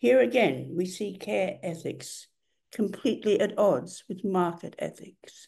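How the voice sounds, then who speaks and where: A woman's medium-pitched voice carries vocal fry and a dark, mellow tone, with lively intonation at a fairly slow pace. Audible room echo surrounds her. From Australia. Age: 80s+. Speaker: writer and activist. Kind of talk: lecture. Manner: formal.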